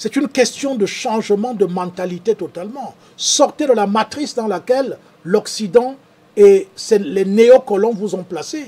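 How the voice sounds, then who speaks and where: A man with a high voice talks at a fairly slow pace, his pitch moving in an ordinary way. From Cameroon, Douala. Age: 60s. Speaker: farmer and show host. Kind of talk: live stream talk reading viewer comments.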